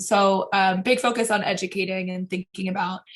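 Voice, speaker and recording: The woman's voice has vocal fry and monotone, flat intonation. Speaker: breakout group presenter at online workshop. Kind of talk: group report-back. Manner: fast.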